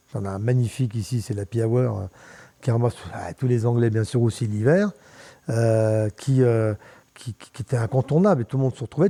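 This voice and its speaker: A man with a dark, mellow tone and a somewhat breathy voice speaks at a fairly quick pace on a very clean recording with a silent background. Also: dry, close sound with no echo. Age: 70s. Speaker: mountain bike pioneer and former bar owner. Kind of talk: casual interview chat. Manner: halting, many repetitions and fillers.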